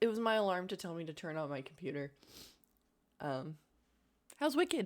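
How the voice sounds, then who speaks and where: This woman's voice sits at a medium pitch yet makes very wide pitch swings. She keeps a moderate pace. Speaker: vtuber streamer. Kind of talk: live gameplay stream chat; recorded video intro.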